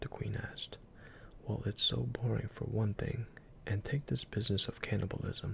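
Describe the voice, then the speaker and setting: Someone whispers at a moderate pace. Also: man. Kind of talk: ASMR story reading. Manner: soft-spoken.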